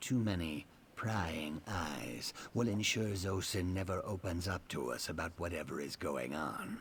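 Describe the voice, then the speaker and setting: Putting on a character voice, a man talks at a moderate pace in a very deep, low pitch over clear background noise. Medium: video game. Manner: measured, dry, precise.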